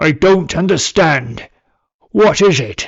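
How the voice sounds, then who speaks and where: Raspy and fairly slow, a put-on character voice plays with lively intonation. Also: man, high pitch for a man. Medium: read story. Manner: grandiloquent, archaic, heroic.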